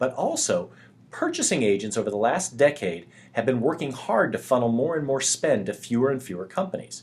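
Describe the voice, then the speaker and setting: A man with an American accent speaks at a medium pitch and a fairly quick pace. His voice is somewhat breathy, with lively intonation. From US South. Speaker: sales software presenter. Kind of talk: webinar presentation. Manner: fast.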